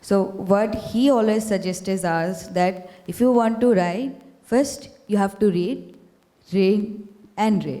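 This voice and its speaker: A woman with a Bengali accent at a very slow pace, with ordinary pitch variation and audible room echo. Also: medium pitch for a woman. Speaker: student panelist. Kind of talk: panel discussion. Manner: halting, many fillers.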